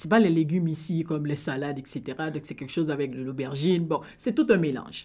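A woman with a Haitian accent speaks at a fairly quick pace in a very deep, low voice. The recording is very clean, with a silent background. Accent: Haitian, noticeable. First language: Haitian Creole (speaking French). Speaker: immigrant sharing experience. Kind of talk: radio interview.

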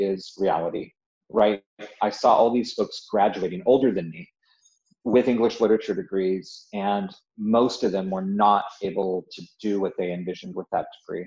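A dark, mellow tone comes through with an American accent at a moderate pace. Pitch variation is ordinary, and the background is quiet. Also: man, fairly low pitch for a man. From Southern California, Yucca Valley high desert. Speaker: technology executive and university alumnus. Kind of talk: casual interview. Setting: remote interview from home.

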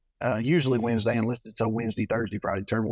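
In a dry, close sound with no echo, a man talks at a very fast pace and a medium pitch, with monotone, flat intonation. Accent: Texan. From Texas (Trinidad). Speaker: tournament bass angler. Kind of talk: casual interview.

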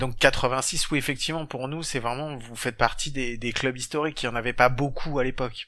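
A man is speaking at a fairly quick pace. His voice sits at a medium pitch. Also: hardly any pauses. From southern France. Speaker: podcast host. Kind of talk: casual chat. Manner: animated.

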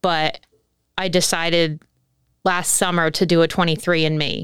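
On a very clean recording with a silent background, a woman with an American accent speaks at a moderate pace in a fairly low pitch. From New Jersey. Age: 20s. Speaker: adoptee sharing her story. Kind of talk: casual interview testimony.

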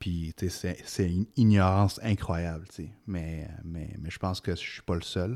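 With a very deep, low pitch and a dark, mellow tone, a man talks at a fairly slow pace with fairly even intonation, in a dry, close sound with no echo and a very clean recording over a silent background. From Quebec, arrived from Egypt aged 10. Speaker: tech company CEO. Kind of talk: casual chat.

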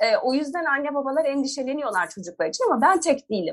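Using a normal speaking voice, a woman talks at a fairly quick pace. Her intonation is lively. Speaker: feminist lawyer and activist. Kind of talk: interview.

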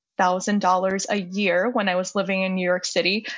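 It moves along at a moderate pace. The voice is an unremarkable speaking voice. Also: woman. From US, Chinese immigrant family. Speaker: journalist and negotiation coach. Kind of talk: interview conversation.

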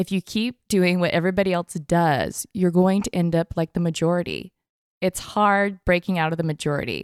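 A woman with a normal speaking voice, fairly low in pitch, at a moderate pace, in a dry, close sound with no echo. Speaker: podcast host. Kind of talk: interview questions.

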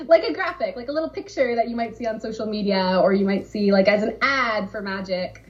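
A woman speaks with lively intonation and hardly any pauses. Noticeable background noise is present. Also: fairly high pitch for a woman. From Southern California. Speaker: game brand marketer. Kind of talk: casual interview.

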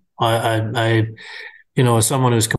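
Against a quiet background, a man speaks at a fairly quick pace and medium pitch. His voice is somewhat breathy, with monotone, flat intonation. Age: 50s. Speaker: farm equipment podcast host. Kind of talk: casual interview chat.

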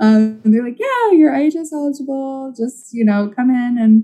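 A woman's somewhat breathy, dark and mellow voice with an American accent and ordinary pitch variation. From Oklahoma. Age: 20s. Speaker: public health official. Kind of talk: interview.

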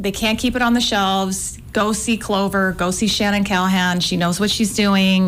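At a moderate pace, a woman with a plain, everyday voice talks at a medium pitch with fairly even intonation. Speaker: women's basketball analyst. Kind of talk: casual interview.

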